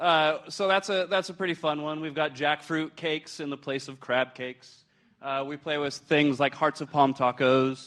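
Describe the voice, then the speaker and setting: Over a quiet background, a man with a fairly high voice speaks at a moderate pace with fairly even intonation. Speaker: hospital food service chef. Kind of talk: presentation to an audience. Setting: stage with audience, handheld mic. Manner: loud; hesitant, many filler words.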